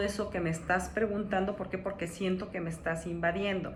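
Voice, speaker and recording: Audible room echo and noticeable background noise surround a woman speaking at a medium pitch with fairly even intonation. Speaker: coach / personal development speaker. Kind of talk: lecture.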